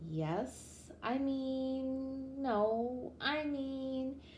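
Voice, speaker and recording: A woman mumbles in a put-on character voice. Clear background noise sits behind her. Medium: read story. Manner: hesitant, mumbling.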